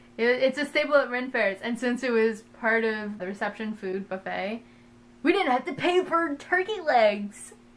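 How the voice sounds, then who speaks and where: Over noticeable background noise, a woman talks at a moderate pace with a high pitch and lively intonation. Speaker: vlogger. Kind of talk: casual chat. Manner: animated.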